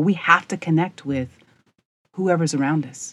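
Here is a woman with an ordinary speaking voice and an American accent. She moves at a moderate pace with ordinary pitch variation against a quiet background. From rural US. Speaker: podcast host, leadership coach. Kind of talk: monologue storytelling.

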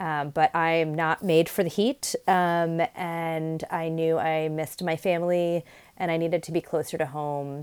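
An American accent at a fairly slow pace with hardly any pauses and flat, monotone intonation, on a very clean recording with a silent background. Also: woman, fairly low pitch for a woman. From New York City. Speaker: leadership coach and professor. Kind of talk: personal storytelling monologue.

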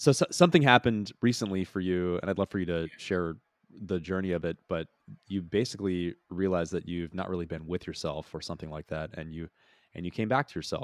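A man's very deep, low voice at a very fast pace, with ordinary pitch variation and big swings in loudness, in a dry, close sound with no echo on a very clean recording with a silent background. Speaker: podcast host, enneagram teacher. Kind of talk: interview.

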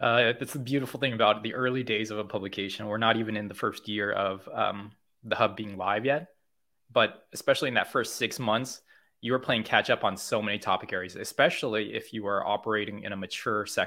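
Fairly quick and fairly even in intonation, the speaker has an American accent. It is an ordinary speaking voice. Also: man, medium pitch for a man. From California, US. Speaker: content marketer and SEO educator. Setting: remote call.

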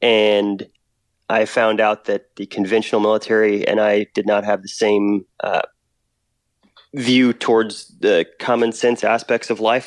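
A man speaks with an American accent at a fairly low pitch and a fairly slow pace, his intonation flat and monotone. The sound is dry and close with no echo, over a quiet background. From US Southwest (Texas, Oklahoma, New Mexico). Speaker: military veteran and nonprofit founder. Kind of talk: casual interview.

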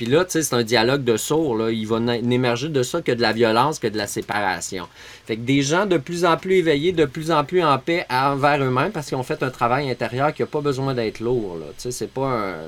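In a Quebec accent, a man speaks at a medium pitch. His pace is moderate and his intonation is lively. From Quebec, Montreal suburbs. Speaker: permaculture teacher and entrepreneur. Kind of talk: casual interview chat.

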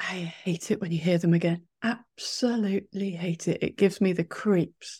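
On a very clean recording with a silent background, a woman with a British accent speaks at medium pitch and a moderate pace, somewhat breathy and with hardly any pauses. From England. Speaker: podcast host. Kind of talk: interview.

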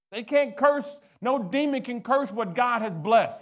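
A man with an American accent, an animated tone, ordinary pitch variation and audible room echo. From US inner city. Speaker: pastor. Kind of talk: call-and-response preaching, congregation prompted to finish his sentences; Q&A sermon answering viewer questions. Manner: rising, rhythmic cadence with repeated 'what?' prompts; animated, stammering in emphatic bursts.

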